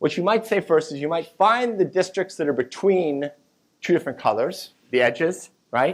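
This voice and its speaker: On a very clean recording with a silent background, a man speaks in a high voice with lively intonation. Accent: American. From US South. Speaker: mathematics professor. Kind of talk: lecture. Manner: fast.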